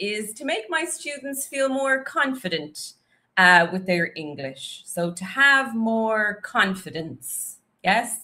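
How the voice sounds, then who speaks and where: Speaking very slowly with a Dublin accent, a woman has a bright, sharp tone and a fairly high pitch. Her pitch swings very widely. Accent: Dublin Irish. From Ireland, Dublin. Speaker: English teacher. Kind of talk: live stream chat. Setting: live stream on YouTube and Instagram. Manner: casual, chatty.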